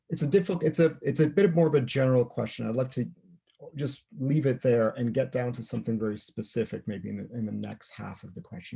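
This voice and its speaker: A man with a Canadian accent speaks at a fairly quick clip in a medium pitch, his dark, mellow tone carrying lively intonation and vocal fry. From Canada. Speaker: author and interviewer. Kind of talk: interview. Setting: video call. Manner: halting, repeats words.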